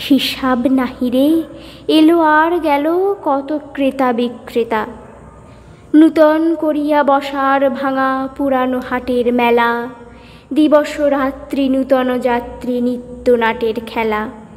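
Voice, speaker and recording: Her voice sits at a high pitch with fairly even intonation. Noticeable background noise runs behind this woman. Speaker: poetry reciter. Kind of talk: poetry reading.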